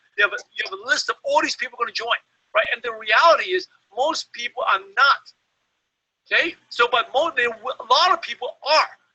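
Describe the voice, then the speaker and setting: With a non-native accent, a man speaks at a fairly quick pace in an extremely high pitch that makes very wide swings. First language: not English. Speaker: network marketing trainer. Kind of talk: webinar training talk. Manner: halting, many fillers.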